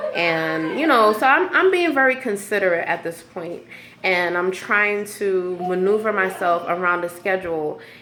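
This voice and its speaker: Amid noticeable background noise and audible room echo, a woman of medium pitch talks at a moderate pace with ordinary pitch variation. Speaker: vlogger sharing personal stories. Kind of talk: personal venting monologue. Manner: halting, many fillers.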